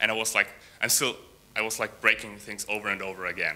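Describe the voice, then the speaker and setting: This man talks at a fairly quick pace with a non-native accent and a bright, sharp tone. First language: not English. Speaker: software developer. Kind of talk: conference talk. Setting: stage with audience. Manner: halting, many fillers and repeats.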